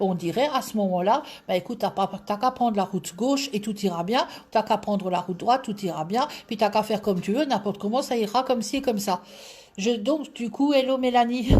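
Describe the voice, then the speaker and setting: Speaking at a fairly quick pace with an Alsatian accent, a woman uses a fairly high, somewhat breathy voice with ordinary pitch variation. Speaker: tarot reader. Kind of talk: live stream chat.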